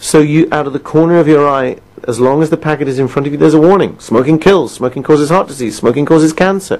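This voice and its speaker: With a British accent, the words come out at a fairly quick clip. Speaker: quit-smoking coach. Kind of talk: recorded self-help session. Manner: conversational, asks listener questions.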